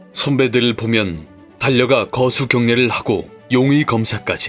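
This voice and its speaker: Music plays in the background as a man speaks. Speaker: voice actor. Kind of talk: nostalgic documentary narration.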